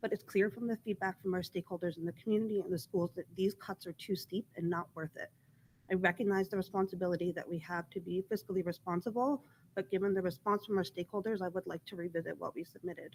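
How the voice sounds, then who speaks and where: A shaky woman's voice at a medium pitch, very fast, with ordinary pitch variation and a dry, close sound with no echo. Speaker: school board member. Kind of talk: public meeting statement. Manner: shaky voice.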